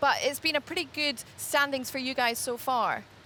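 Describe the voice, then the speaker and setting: The voice is raised and projected, with a bright, sharp tone. It moves at a moderate pace. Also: woman. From Scotland, Glasgow. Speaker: sports presenter. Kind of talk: studio interview. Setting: TV studio.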